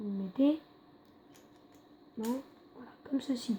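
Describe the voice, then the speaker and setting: A quiet woman's voice, high in pitch, at a very slow pace. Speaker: YouTuber. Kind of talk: tutorial. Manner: halting.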